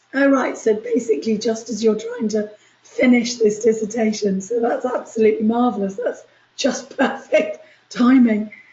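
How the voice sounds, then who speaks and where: A woman with a fairly high-pitched voice is heard with audible room echo. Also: fairly even intonation, moderate pace. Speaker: university lecturer. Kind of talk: lecture.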